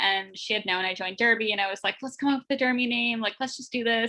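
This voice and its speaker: A woman with a Canadian accent speaks in a bright, sharp tone. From Windsor, Ontario, Canada. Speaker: roller derby skater. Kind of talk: casual interview.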